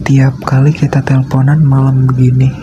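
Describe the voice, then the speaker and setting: Noticeable background noise sits behind a man who talks very slowly. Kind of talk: ASMR boyfriend roleplay sleep call. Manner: slow, intimate.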